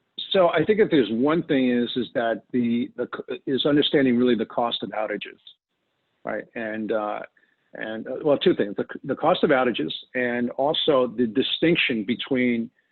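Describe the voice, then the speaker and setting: The speaker has a New York accent. Their pitch varies in an ordinary way. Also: man, medium pitch for a man. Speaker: data protection specialist. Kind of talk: webinar presentation. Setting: online webinar. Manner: fast.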